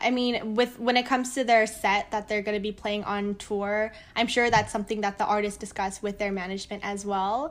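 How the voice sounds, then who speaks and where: Fairly quick and fairly even in intonation, a woman speaks at a fairly high pitch. She has an unremarkable speaking voice. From United States. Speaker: tour manager. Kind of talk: casual interview chat.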